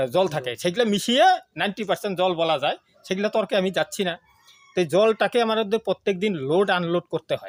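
Recorded dry and close with no echo, a man speaks at a high pitch with ordinary pitch variation. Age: 40s. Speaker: health product promoter. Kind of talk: sales pitch. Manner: animated.

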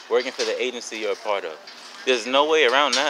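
Over faint background noise, a man speaks at a medium pitch with a bright, sharp tone and ordinary pitch variation.

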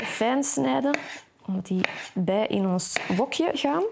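Noticeable background noise sits behind a woman as she speaks. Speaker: TV cooking show host. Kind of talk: cooking tutorial. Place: kitchen. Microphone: lapel.

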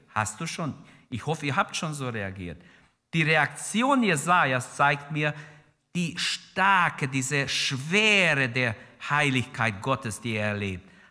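A man with a fairly high pitch speaks at a very slow pace, his voice showing vocal fry. His pitch swings very widely over a quiet background. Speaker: preacher. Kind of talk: sermon in church, fervent preaching with prayer and exhortation to the congregation. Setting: church with congregation. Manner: passionate, emphatic, urgent; exhorting the congregation directly, repeating key phrases. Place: church. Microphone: podium.

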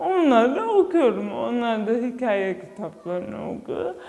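A woman speaks very slowly with very wide pitch swings against a quiet background. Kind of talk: interview testimony. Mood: animated, telling an anecdote. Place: classroom.

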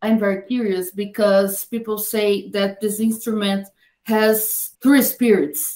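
Against a quiet background, a woman with a Portuguese accent talks very slowly in a dark, mellow tone with fairly even intonation. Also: fairly high pitch for a woman. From Brazil. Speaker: podcast host. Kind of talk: interview. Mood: curious, engaged. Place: home room. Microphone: webcam.

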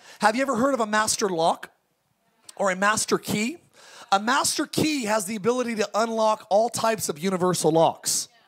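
At a fairly quick pace and a high pitch, a man talks with ordinary pitch variation over a quiet background. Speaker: pastor. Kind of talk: sermon. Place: tent. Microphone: handheld.

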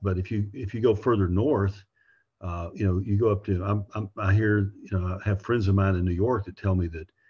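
A man speaks at a moderate pace and a fairly low pitch, his intonation fairly even. His voice is somewhat breathy against a quiet background. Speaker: podcast host. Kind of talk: interview conversation. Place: home room. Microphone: video call.

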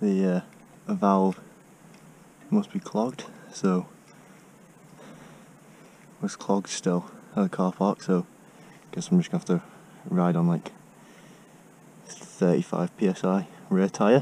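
A man's speech with long, frequent pauses, dry with no echo, over light background noise. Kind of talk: casual vlog chat. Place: bicycle. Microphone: helmet.

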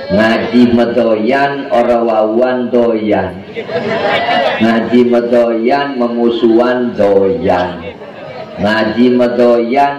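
A man talks at a very slow pace with ordinary pitch variation, amid noticeable background noise and audible room echo. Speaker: religious preacher. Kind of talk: sermon. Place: stage.

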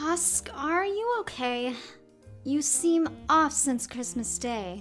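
Using a cartoonish character voice, a woman speaks slowly with a high pitch, a fairly bright tone and lively intonation, while faint music plays in the background.

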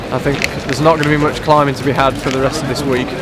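Noticeable background noise runs under this man's voice. The sound is dry, with no echo. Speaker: presenter. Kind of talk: conditions report to camera. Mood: upbeat, relaxed. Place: street.

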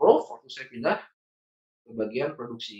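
A man speaks at a moderate pace. The background is quiet, with audible room echo. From Bandung, West Java, Indonesia. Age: 40s. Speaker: trainer and consultant. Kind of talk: training lecture. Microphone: video call.

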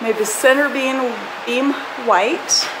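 A woman's high voice at a very slow pace, over noticeable background noise. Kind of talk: casual vlog chat. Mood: pleased, upbeat. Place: home room. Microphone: phone near.

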